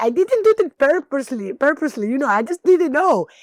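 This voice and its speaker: Someone with a Greek accent talks at a moderate pace in an animated tone, the pitch swinging very widely. The sound is dry and close, with no echo. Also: woman. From Greece, small town. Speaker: actress and screenwriter. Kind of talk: interview storytelling.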